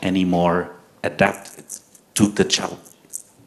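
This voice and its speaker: At a fairly slow pace, a man speaks with a Portuguese accent. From Portugal. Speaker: medical doctor and public health lecturer. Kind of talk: lecture.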